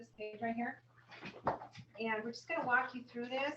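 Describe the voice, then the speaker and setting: Loud and very fast, a woman with an American accent speaks at a fairly high pitch. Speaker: insurance broker. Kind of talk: sales presentation.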